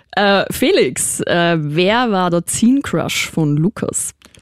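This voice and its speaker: A woman's medium-pitched voice with very wide pitch swings, dry and close with no echo. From Austria, Vienna. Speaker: radio and podcast host. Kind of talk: casual interview. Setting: studio.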